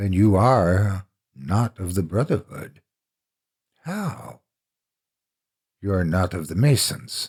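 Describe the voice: On a very clean recording with a silent background, a man puts on a character voice that is low-pitched with a slightly husky edge, speaking at a slow pace with long, frequent pauses. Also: lively intonation.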